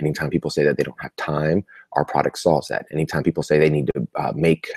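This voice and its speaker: Quiet and very fast, a man speaks in a dry, close sound with no echo. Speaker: marketing coach. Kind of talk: live webinar recap. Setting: live video broadcast from a family home. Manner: quiet, keeping voice down.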